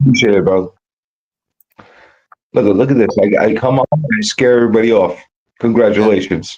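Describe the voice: At a fairly quick pace, a man speaks in a fairly low pitch with a slightly mellow tone, a slightly husky edge and ordinary pitch variation.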